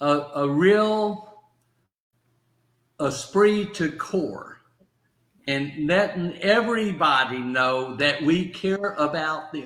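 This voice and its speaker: Speaking with a Southern US accent, the voice moves at a very slow pace with long, frequent pauses. Room echo is audible. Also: man, fairly high pitch for a man. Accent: Southern drawl. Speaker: motivational speaker and stroke survivor. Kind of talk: casual chat. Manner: halting.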